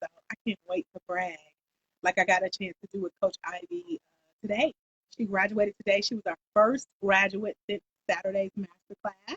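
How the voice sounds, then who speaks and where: A somewhat breathy woman's voice at medium pitch, with an American accent, at a fairly quick pace, with a dry, close sound and no echo. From Atlanta, US South. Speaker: life coach trainer. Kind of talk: live stream chat. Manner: animated.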